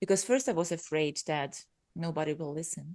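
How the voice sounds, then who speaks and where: A woman with a fairly low voice speaks at a moderate pace, her dry, close sound carrying no echo over a quiet background. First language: not English. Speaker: podcaster, business coach. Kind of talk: casual interview chat.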